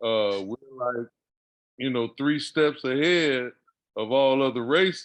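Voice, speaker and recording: A man speaks at a fairly slow pace. His pitch is medium, with ordinary variation. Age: 60s. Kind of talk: casual chat.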